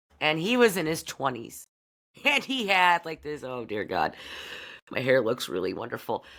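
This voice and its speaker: A woman with an American accent speaks loudly at a moderate pace, her very deep, low pitch full of vocal fry and very wide swings, her tone animated. Long, frequent pauses break up the speech, and the recording is very clean with a silent background. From US Midwest (Bedford, Iowa area). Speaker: podcast host. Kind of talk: casual monologue.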